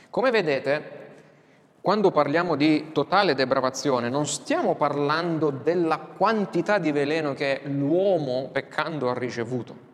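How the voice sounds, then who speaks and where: Against noticeable background noise, a man speaks fairly slowly at a fairly high pitch with ordinary pitch variation. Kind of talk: lecture. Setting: classroom with whiteboard, filmed.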